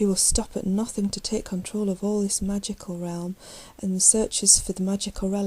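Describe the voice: Fairly even intonation throughout a plain reading aloud.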